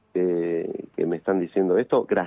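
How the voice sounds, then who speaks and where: With a Rioplatense accent, a man speaks in a dark, mellow tone, the sound dry and close with no echo. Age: 50s. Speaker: musician. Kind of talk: interview.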